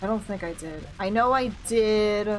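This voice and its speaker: Soft-spoken woman at a fairly slow pace, with audible room echo. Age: 30s. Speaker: video game streamer. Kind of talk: casual live-stream chat while gaming. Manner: soft-spoken, talks quietly.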